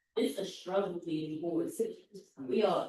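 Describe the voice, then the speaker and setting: In an American accent, a woman speaks with a dark, mellow tone, a fairly low pitch and ordinary pitch variation. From Philadelphia. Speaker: patient testimony speaker. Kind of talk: testimony. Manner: halting.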